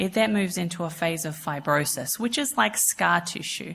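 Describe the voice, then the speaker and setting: With an Australian accent, a woman at a fairly low pitch talks at a moderate pace with ordinary pitch variation. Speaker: cardiologist, cardiac imaging specialist. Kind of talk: conference lecture. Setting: conference stage with audience. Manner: hesitant, many fillers.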